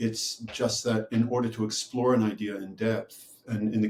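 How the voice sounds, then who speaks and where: Medium in pitch and somewhat breathy, a man's voice stays monotone and flat. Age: 60s. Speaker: retired professor and author. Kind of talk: interview. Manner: halting.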